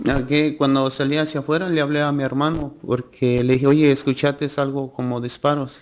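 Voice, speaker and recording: A man's fairly high voice, very fast and flat in a monotone, with hardly any pauses. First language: Spanish. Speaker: trial witness. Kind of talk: witness testimony. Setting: courtroom.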